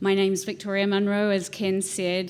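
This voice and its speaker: A woman in a New Zealand accent, moderate in pace, with monotone, flat intonation. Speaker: house museum director. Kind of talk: panel talk presentation.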